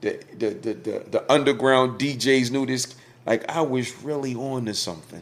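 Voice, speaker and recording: A man with an East Coast US accent talks with ordinary pitch variation. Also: medium pitch for a man, moderate pace. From West Philadelphia with early years in Georgia. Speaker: former radio promoter and online commentator. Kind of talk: casual interview chat. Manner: animated.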